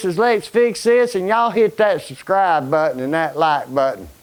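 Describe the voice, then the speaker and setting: A high-pitched man with an Alabama accent, lively intonation and a moderate pace. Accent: Southern US (Alabama). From Alabama, US South. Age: 60s. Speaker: retired construction worker and coal miner, DIY YouTuber. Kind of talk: casual shop tour vlog. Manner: halting, many fillers and repeats.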